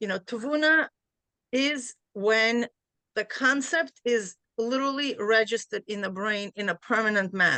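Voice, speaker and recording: A woman with a Central Asian accent speaks at a moderate pace and fairly high pitch. Her tone is bright and sharp, with ordinary pitch variation. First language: Bukharian. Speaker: class participant. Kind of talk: discussion in a study class. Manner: hesitant, many fillers.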